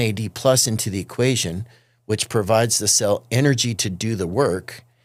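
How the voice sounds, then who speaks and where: A man's ordinary speaking voice at medium pitch with ordinary variation and a moderate pace, in a very clean recording with a silent background. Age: 50s. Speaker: physical therapist. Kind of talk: casual chat. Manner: explanatory.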